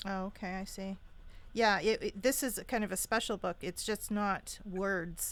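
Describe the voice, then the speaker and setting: Captured on a very clean recording with a silent background, a woman with an ordinary speaking voice at a medium pitch talks at a fairly slow pace with fairly even intonation. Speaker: radio show host. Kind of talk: radio interview host.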